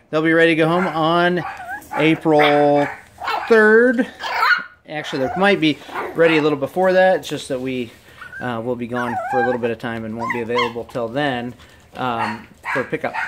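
Moderate pace with long, frequent pauses and noticeable background noise. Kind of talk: casual commentary. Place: home room. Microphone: phone near.

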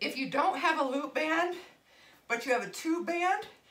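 A woman speaks in a raised, projected voice. Her pace is moderate. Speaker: fitness instructor. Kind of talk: workout class instruction. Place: gym.

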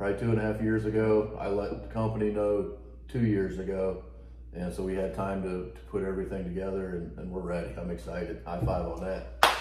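Delivered at a fairly quick pace with very wide pitch swings, the speech carries audible room echo and noticeable background noise. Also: man, very deep, low pitch for a man. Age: 40s. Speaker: homesteader and woodworking channel host; woodworking channel host. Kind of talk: casual chat. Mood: upbeat, excited. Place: home room. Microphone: camera far.

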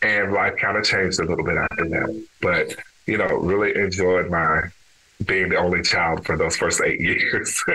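A man speaks with an American accent at a very even loudness. Noticeable background noise runs under his voice. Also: moderate pace. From Texas, Dallas. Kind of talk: interview conversation.

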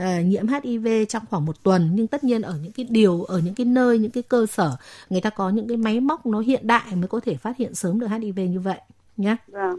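A woman with an ordinary speaking voice talks at a moderate pace, fairly high in pitch with lively intonation, in a dry, close sound with no echo. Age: 40s. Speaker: doctor. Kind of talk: advice call-in. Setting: studio.

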